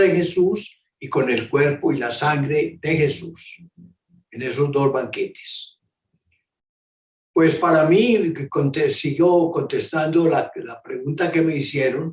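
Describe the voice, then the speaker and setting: A man talks at a very slow pace, his fairly high voice showing ordinary pitch variation. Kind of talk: catechesis talk. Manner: halting.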